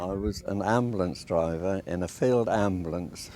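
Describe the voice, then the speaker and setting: The tone is dark and mellow, the pace fairly slow, the pitch variation ordinary. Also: man. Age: 80s+. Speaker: war veteran. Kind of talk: interview.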